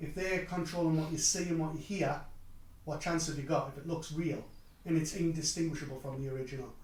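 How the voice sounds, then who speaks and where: Talking very fast with a Geordie accent, a man uses a fairly high pitch and fairly even intonation, with audible room echo and noticeable background noise. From northeast England (Newcastle). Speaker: technology speaker. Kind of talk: conference talk.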